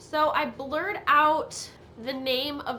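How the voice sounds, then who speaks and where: A woman speaks in a raised, projected voice. Audible room echo surrounds her words. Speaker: YouTuber. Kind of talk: casual commentary vlog. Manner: casual.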